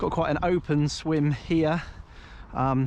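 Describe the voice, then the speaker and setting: In an English accent, a man speaks with fairly even intonation. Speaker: carp angler and fishing vlogger. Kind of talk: casual outdoor vlog walkthrough. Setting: outdoors by a lake. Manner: hesitant, many fillers.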